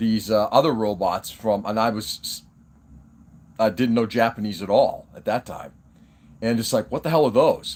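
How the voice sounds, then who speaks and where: This man speaks at a moderate pace and a medium pitch, with ordinary pitch variation. His loudness swings widely, and long pauses come often. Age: 50s. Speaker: hobby live streamer. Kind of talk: casual live stream chat. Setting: live stream. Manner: halting.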